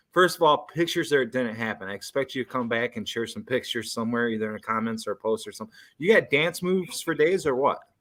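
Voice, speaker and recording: A medium-pitched man in an animated tone, at a very fast pace with hardly any pauses. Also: lively intonation, very clean recording, silent background. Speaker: live networking show host. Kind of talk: casual live chat.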